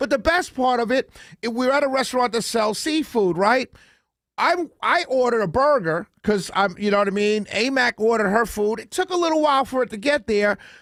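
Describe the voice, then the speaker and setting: A man's extremely high voice with a New York accent and lively intonation, dry and close with no echo, in a very clean recording with a silent background. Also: fairly quick pace. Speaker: talk radio host. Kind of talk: casual radio monologue.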